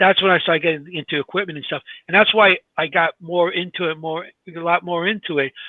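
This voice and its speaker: In a New York accent, a man talks at a very fast pace with a high pitch. His intonation is fairly even, while his loudness swings widely. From New York (Glendale, Queens). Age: 60s. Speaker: paranormal investigator and podcast co-host. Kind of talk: casual chat. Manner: halting.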